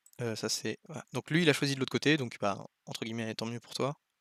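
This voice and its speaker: A man talks at a very fast pace in a very clean recording with a silent background, the sound dry and close with no echo. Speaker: go teacher commenting a student's game. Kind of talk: game review commentary. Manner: hesitant, many fillers.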